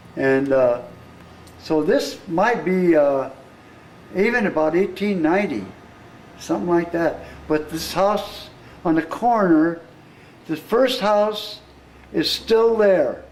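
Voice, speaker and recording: A man with an American accent, a high pitch and lively intonation, speaking at a very slow pace amid noticeable background noise. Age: 70s. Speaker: local historian. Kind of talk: guided tour. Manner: halting.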